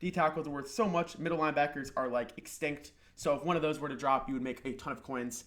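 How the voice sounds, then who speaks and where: The speech races at a very fast pace with hardly any pauses and a fairly even intonation. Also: man, fairly high pitch for a man. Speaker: gaming YouTuber. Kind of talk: tutorial. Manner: casual.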